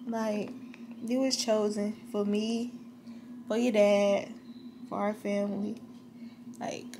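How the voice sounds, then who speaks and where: Over noticeable background noise, a woman speaks very slowly in a monotone, flat way. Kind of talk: casual vlog chat. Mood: tender, emotional, reflective. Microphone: phone near.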